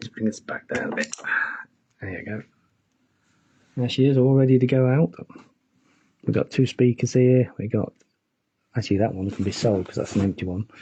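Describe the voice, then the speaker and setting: A man's somewhat breathy voice with an English accent, dark and mellow in tone, at medium pitch with ordinary pitch variation, a fairly quick pace, long, frequent pauses and big swings in loudness. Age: 60s. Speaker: keyboard player and mobile DJ. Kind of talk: casual chat. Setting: home studio live stream. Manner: casual, hesitant with fillers.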